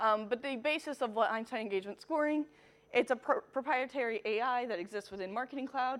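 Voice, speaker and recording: In an American accent, a woman talks at a fairly quick pace with an unremarkable speaking voice and ordinary pitch variation. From US. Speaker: marketing technology consultant. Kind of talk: conference talk.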